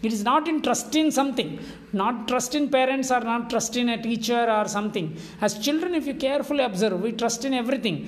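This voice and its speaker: A fairly quick voice with an Indian accent over noticeable background noise. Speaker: spiritual teacher. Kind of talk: lecture.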